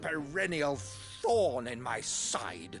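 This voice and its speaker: A growling, theatrical put-on character voice from a man at a fairly high pitch, with clear music in the background. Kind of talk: formal upper-class speech. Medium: video game. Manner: grandiloquent, theatrical.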